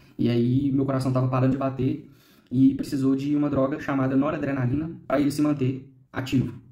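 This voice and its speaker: A man's dark, mellow tone at a fairly quick pace, monotone and flat in intonation, with audible room echo. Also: medium pitch for a man. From Minas Gerais, Brazil (Ipatinga). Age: 30s. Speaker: bone marrow transplant survivor. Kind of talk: documentary interview testimony.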